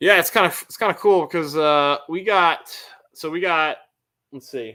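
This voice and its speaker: An American-accented man speaks at a high pitch and a fairly slow pace, with ordinary pitch variation. His tone is bright and sharp, and his loudness swings a lot. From northern Connecticut, US New England. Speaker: car YouTuber. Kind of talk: live stream chat with viewers. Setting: live stream. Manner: casual, halting with repeated words.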